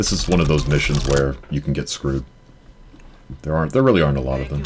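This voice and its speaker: Very fast speech over noticeable background noise. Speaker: speedrunner. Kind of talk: live gameplay commentary. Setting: live-streamed marathon event.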